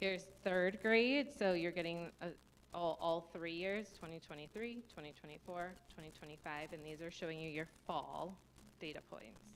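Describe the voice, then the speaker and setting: A woman talks in a fairly low voice with ordinary pitch variation. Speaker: school administrator presenting data. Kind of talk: data presentation at board meeting. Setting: school board meeting. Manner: fast.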